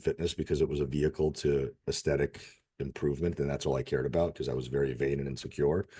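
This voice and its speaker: A man's dark, mellow voice at a fairly quick pace, with a US Northeastern accent. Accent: US Northeast. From Russia, raised in Connecticut, US. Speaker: fitness and nutrition coach. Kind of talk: podcast interview. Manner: casual, candid.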